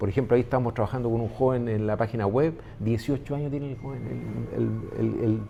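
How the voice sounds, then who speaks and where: A man at a very fast pace, medium pitch and fairly even intonation. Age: 60s. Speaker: business owner. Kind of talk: interview conversation. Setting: restaurant. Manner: halting, many fillers.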